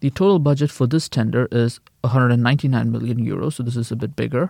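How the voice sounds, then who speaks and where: A man at a very fast pace, fairly even intonation, in a very clean recording with a silent background. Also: dry, close sound with no echo. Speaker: news podcast co-host. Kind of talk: news reading.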